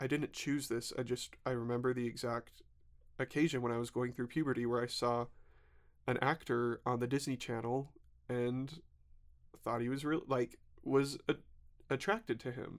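A man with an American accent speaks at a medium pitch with monotone, flat intonation. His pace is moderate, with long, frequent pauses. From US South, Alabama and Georgia. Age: 30s. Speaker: podcast guest sharing life story. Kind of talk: personal testimony. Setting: studio.

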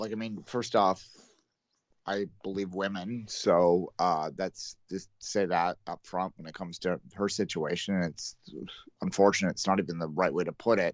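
With a Canadian accent, a man talks in an ordinary speaking voice at a fairly low pitch, keeping his intonation fairly even while his loudness swings widely. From Canada. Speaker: sports podcast co-host. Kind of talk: casual chat.

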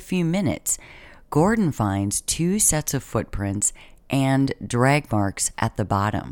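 Someone speaks at a fairly slow pace on a very clean recording with a silent background. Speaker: true crime podcaster. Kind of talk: true-crime narration, casual storytelling to listeners. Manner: conversational, rhetorical questions, curious and engaged.

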